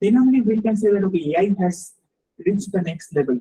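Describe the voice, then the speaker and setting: The voice comes with a Bengali accent. It moves at a moderate pace. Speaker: research scientist. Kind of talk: lecture. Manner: halting, many repetitions and fillers.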